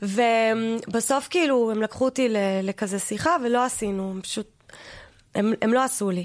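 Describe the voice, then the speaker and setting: A normal speaking voice from a woman at fairly high pitch, with ordinary pitch variation, on a very clean recording with a silent background. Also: moderate pace. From US, New York (Queens/Long Island border). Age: 40s. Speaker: comedian and actress. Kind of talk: comedic podcast interview.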